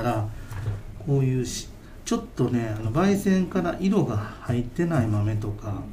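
A man's pitch climbs and drops very widely while noticeable background noise and audible room echo surround him. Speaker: coffee roaster, company president. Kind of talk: casual interview chat. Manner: hesitant, many fillers.

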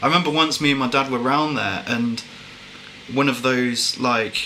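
A man with an English accent at a fairly quick pace, fairly even intonation, audible room echo and noticeable background noise. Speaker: podcast co-host. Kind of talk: casual chat.

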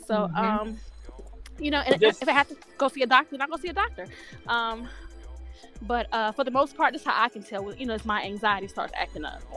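A woman with a high, raised, projected voice talks very fast, with very wide pitch swings and big swings in loudness. She leaves long, frequent pauses, and music plays in the background. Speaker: podcast guest. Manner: fast talker.

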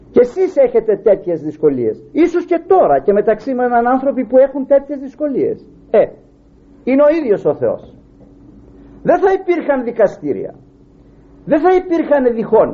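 At a moderate pace with long, frequent pauses, a man speaks at an extremely high pitch with very wide pitch swings. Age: 60s. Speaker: preacher. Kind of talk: sermon.

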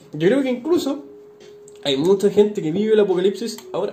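A high-pitched man at a very fast pace, lively intonation, long, frequent pauses and noticeable background noise. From northern Chile, Iquique. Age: 20s. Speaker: podcast co-host. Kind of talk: casual chat.

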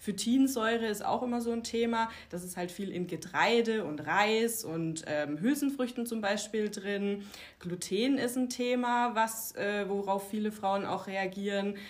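A woman with a fairly high pitch and ordinary pitch variation speaks at a fairly slow pace with hardly any pauses. Noticeable noise sits in the background. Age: 30s. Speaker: naturopath for women's health. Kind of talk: casual interview chat.

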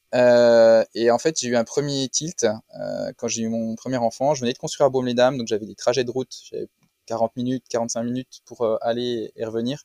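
A man speaks at medium pitch and a moderate pace, his tone dark and mellow. His intonation is flat and monotone, and the sound is dry and close with no echo. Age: 40s. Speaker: business owner, retail. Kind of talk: testimony.

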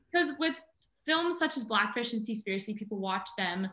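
Talking at a fairly quick pace, a woman has an unremarkable speaking voice and a fairly high pitch. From Southern California. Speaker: marine biology student and wildlife photographer. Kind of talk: casual interview chat.

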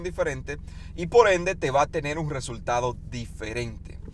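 A man with an animated tone at a fairly quick pace. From Dominican Republic. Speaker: weight-loss podcaster. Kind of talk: motivational monologue. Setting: in a car.

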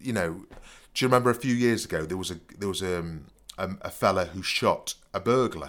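Lively intonation at a moderate pace, in a very clean recording with a silent background. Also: man. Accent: East Midlands. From Nottingham, England. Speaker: podcast host and storyteller, former fake burglar. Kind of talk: casual chat, storytelling.

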